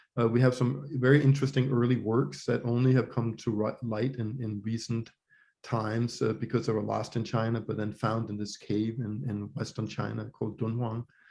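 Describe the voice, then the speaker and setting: Somewhat breathy, a man with a Danish accent speaks in a medium pitch with a dark, mellow tone and fairly even intonation. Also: moderate pace. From Denmark. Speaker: professor of religious studies. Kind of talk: interview conversation. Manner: hesitant, many fillers and repetitions.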